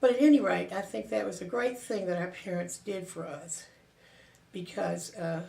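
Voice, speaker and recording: In a Southern US accent, a woman with a dark, mellow tone and vocal fry speaks at a fairly low pitch and a moderate pace, with audible room echo. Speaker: interviewee recounting family history. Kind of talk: oral history reminiscence. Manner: halting, with fillers and self-corrections.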